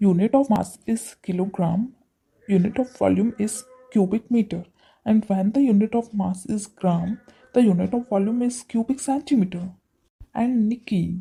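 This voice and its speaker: A woman with a fairly high, somewhat breathy voice speaks in a dark, mellow tone. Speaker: English practice presenter. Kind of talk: scripted dialogue practice. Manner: slow.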